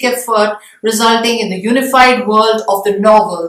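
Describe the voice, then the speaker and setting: The speaker is a woman with an Indian accent. Her intonation stays fairly even. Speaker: English literature professor. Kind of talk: lecture. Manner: explanatory, measured.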